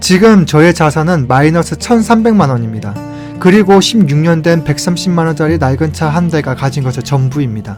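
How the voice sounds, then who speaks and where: A man speaks in a fairly high voice. Music plays in the background. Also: lively intonation, moderate pace. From South Korea. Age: 30s. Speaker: contract worker. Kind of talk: personal audio diary. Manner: candid, confessional.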